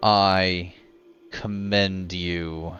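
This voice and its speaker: A man uses a booming, put-on character voice pitched fairly low and speaks very slowly. Faint music plays in the background. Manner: slow, commanding.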